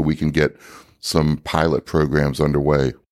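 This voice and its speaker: Very deep and low in pitch with vocal fry, a man talks at a moderate pace in a dry, close sound with no echo. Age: 60s. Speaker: inventor of a training device. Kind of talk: interview. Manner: halting, many fillers.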